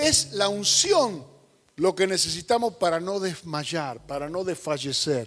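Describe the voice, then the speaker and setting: A man speaks slowly-ish with a Rioplatense accent, his pitch high for a man. His intonation is lively. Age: 60s. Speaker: pastor. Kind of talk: sermon.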